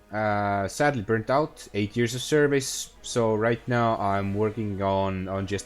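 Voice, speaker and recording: A man with an Estonian accent talks at a fairly slow pace in a fairly low pitch. Music plays in the background. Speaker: gaming streamer. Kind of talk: live gameplay stream. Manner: hesitant, many fillers.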